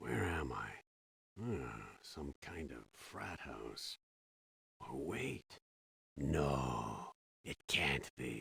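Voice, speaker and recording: A man in a put-on character voice speaks very slowly in a very deep, low pitch with lively intonation and long, frequent pauses, in a dry, close sound with no echo. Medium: video game.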